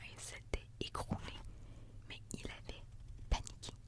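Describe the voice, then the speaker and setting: Whispered words come at a fairly slow speed, with noticeable noise in the background. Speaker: ASMR reader. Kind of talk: reading aloud. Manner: whispering; soft-spoken.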